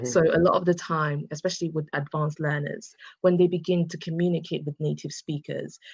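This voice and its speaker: A woman speaks in an English accent with a very deep, low pitch and monotone, flat intonation. The sound is dry and close with no echo, against a quiet background. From England. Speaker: English conversation tutor. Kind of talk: interview answer.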